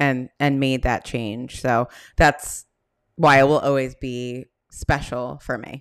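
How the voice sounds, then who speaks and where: A woman speaks at a very slow pace with a very deep, low pitch. Her intonation is monotone and flat, with big swings in loudness. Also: very clean recording, silent background. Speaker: therapist and podcast host. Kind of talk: casual solo podcast talk.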